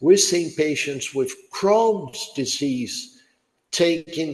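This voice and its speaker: The room echo is audible as a man talks. His pace is very slow. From Brazil. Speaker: neurologist. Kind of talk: lecture Q&A.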